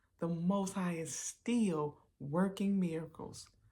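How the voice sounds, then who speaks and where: Very slowly, a woman speaks in a fairly low, dark and mellow voice that is somewhat breathy, with fairly even intonation, on a very clean recording with a silent background. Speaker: podcast host and singer. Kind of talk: personal testimony podcast.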